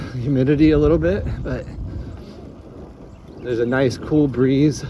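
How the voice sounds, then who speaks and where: Over noticeable background noise, a man talks fairly slowly. His medium-pitched voice keeps a fairly even intonation. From New England. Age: young. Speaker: bicycle traveler and vlogger. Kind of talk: casual vlog monologue. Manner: halting.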